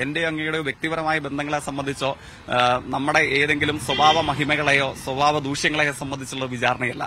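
A man speaks over noticeable background noise. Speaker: election candidate, politician. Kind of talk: news interview. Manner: formal.

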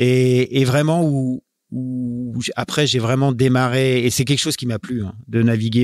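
This man's voice sits at a medium pitch. Intonation remains fairly even throughout. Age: 40s. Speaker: offshore sailing skipper. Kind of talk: interview. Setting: team premises. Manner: halting.

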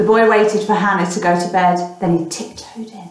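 This plain reading aloud keeps a fairly even intonation.

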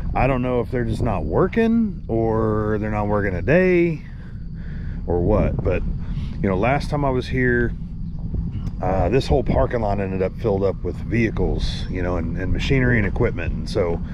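A man talks at a moderate pace over noticeable background noise. The sound is dry with no echo. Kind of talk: casual vlog chat. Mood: relaxed, waiting. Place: open country. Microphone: phone near.

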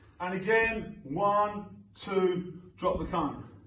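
A man's high-pitched voice with audible room echo. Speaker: boxing coach. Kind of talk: tutorial. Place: gym.

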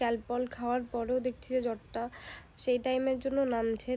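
The voice speaks in a flat monotone with a dark, mellow tone. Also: woman. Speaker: vlogger. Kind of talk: casual vlog talk.

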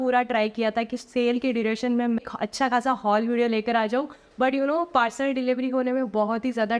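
At a moderate pace, a woman speaks in a high voice with very even loudness and monotone, flat intonation. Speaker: fashion haul vlogger. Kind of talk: casual vlog chat. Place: home room.

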